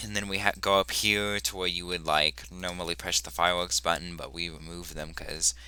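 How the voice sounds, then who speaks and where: Delivered at a fairly quick pace, the voice has a bright, sharp tone with vocal fry, ordinary pitch variation, and big swings in loudness. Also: man. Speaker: gaming video creator. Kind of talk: casual gameplay commentary.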